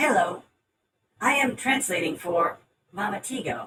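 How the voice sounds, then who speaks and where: Put-on character voice, fairly high in pitch, at a moderate pace. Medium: actual play. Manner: formal, stilted, speaks of its owner as "she says".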